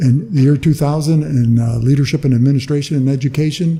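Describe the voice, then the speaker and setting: Here a man with an American accent speaks in a fairly high, somewhat breathy voice with a dark, mellow tone. His intonation stays fairly even. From US Southwest, Calexico, California border town. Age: 60s. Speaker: retired educator and former local politician. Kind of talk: casual interview.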